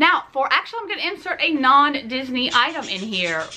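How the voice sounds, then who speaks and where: A woman with a Southern US accent, enthusiastic and bright, sharp in tone, with very wide pitch swings. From US South. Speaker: Disney vlogger. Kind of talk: casual haul video talk to camera. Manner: chatty, enthusiastic.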